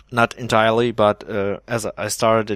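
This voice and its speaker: In a very clean recording with a silent background, a man with a German accent speaks in a dry, close sound with no echo. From Germany. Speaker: Minecraft builder and video creator. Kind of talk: gameplay showcase commentary. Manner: hesitant, many fillers.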